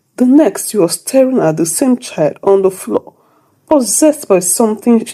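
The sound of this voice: A woman speaks at a fairly slow pace with lively intonation. Her tone is dark and mellow.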